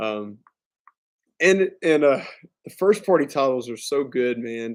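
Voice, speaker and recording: This man speaks at a medium pitch with a Southern US accent. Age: 30s. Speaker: gaming streamer. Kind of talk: casual live stream chat. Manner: casual, filler-heavy.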